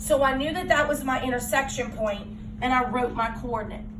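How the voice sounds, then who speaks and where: The recording has audible room echo. Noticeable background noise is also present. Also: woman. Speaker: math teacher. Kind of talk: classroom lesson.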